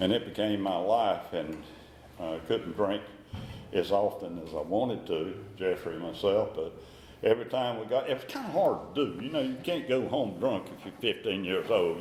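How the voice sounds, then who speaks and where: A man with a North Carolina accent speaks at a moderate pace with ordinary pitch variation. Audible room echo and noticeable background noise are present. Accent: Southern US, North Carolina. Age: 80s+. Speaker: recovering alcoholic sharing his story. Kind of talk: recovery meeting talk. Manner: halting, with repetitions.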